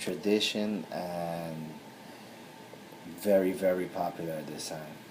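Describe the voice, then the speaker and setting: Audible room echo around a man's very deep, low-pitched speech. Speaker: spiritual tradition priest. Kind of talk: video talk.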